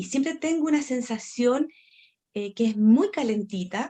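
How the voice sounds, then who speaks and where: A woman's fairly high voice, dark and mellow in tone, at a fairly slow pace with ordinary pitch variation. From northern Chile. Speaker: storyteller. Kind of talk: interview.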